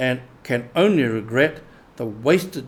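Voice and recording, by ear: Someone reads aloud in a natural voice, the intonation rising and falling in a lively way.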